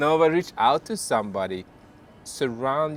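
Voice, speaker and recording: Speaking with a non-native accent, a man moves at a fairly slow pace. His intonation is lively. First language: not English. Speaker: authenticity coach. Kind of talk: casual chat.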